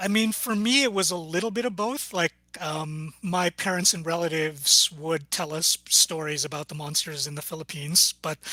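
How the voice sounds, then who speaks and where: Dry and close with no echo, a man's voice, high in pitch, moves at a moderate pace with ordinary pitch variation. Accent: Canadian. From Canada, Edmonton, Filipino family. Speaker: novelist. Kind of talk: casual chat.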